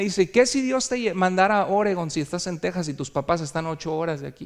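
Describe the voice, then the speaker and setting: Here a man talks with ordinary pitch variation. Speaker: pastor. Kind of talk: sermon. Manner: animated.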